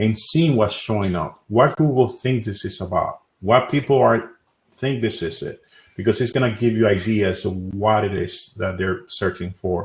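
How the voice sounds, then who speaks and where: A man speaks in a somewhat breathy voice at a fairly low pitch, with a Spanish accent. The recording is very clean, with a silent background. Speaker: SEO expert and tool builder. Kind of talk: panel discussion.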